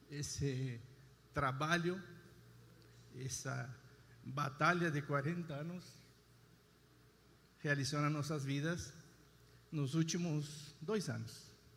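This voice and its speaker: A man's fairly high, fairly even voice at a very slow pace, with long, frequent pauses and audible room echo. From Argentina. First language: Spanish (speaking Portuguese). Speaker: husband giving testimony. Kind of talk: testimony.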